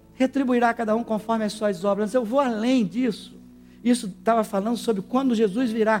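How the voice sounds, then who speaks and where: This man speaks at a fairly quick pace. His tone is animated and his pitch is high. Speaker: preacher. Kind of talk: sermon. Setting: church with congregation. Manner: animated, exhorting the congregation, call-and-response; emphatic, preacherly delivery.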